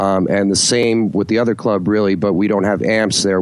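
Against a quiet background, a man with a fairly low voice speaks in a New Jersey accent. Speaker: bass player. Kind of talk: casual chat.

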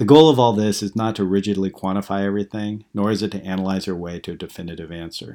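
A man with a fairly low pitch and a dark, mellow tone speaks at a very fast pace with hardly any pauses, ordinary pitch variation and big swings in loudness, on a very clean recording with a silent background. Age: 40s. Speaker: blogger reading own post. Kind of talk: reading aloud.

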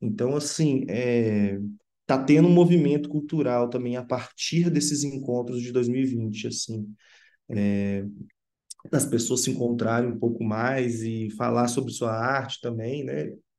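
A man's dark, mellow tone with audible room echo. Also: medium pitch for a man, ordinary pitch variation, fairly slow pace. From Sabará, Minas Gerais, Brazil. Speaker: film director. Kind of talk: interview.

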